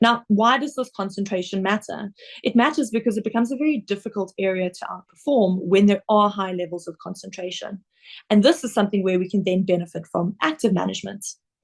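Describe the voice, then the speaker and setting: Against a quiet background, a woman in a South African accent talks at a very fast pace, medium in pitch, somewhat breathy, with ordinary pitch variation. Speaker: investment director. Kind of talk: webinar presentation. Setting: online webinar.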